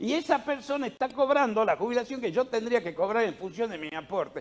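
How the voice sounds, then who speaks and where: The man speaking has a high voice. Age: 60s. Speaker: national congressman. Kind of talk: political interview. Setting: radio/TV studio. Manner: emphatic.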